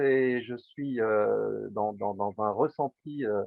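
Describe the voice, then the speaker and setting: A man talking at a very slow pace. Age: 60s. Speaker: psychotherapist. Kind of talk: interview. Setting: video call. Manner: halting.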